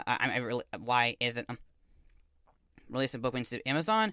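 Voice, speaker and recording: A man's bright, sharp voice with lively intonation and long, frequent pauses, recorded very cleanly against a silent background, dry and close with no echo. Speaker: author and video blogger. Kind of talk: casual update video. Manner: halting, stuttering; many repetitions and fillers.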